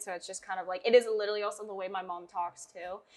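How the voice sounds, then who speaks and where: Her tone animated as well as bright and sharp, a woman speaks at a medium pitch. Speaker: social media influencer and model. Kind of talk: casual interview chat. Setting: coffee shop. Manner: animated, loud.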